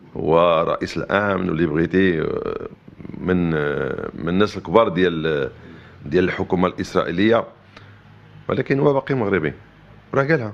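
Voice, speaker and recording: Lively in intonation, a man with a very deep, low pitch talks at a moderate pace with long, frequent pauses. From Morocco. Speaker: interviewee on politics. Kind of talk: interview answers. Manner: halting, many repeated words.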